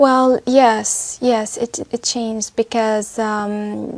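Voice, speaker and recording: With an Arabic accent, the speaker goes at a very slow pace using fairly even intonation. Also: woman. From Syria. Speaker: test candidate. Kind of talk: speaking exam interview. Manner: halting.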